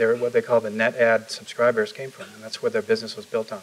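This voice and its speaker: With a Chicago accent and lively intonation, a man talks at a very fast pace. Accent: Chicago American English. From Chicago, US Midwest. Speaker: tech startup founder. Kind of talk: onstage interview. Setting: stage with audience. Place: meeting room. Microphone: lapel.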